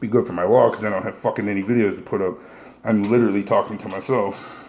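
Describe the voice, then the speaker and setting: Over noticeable background noise, a man with a fairly low pitch speaks very fast in a flat monotone. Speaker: powerlifter answering viewer questions. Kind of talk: casual Q&A monologue. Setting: solo video recording. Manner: profane, blunt.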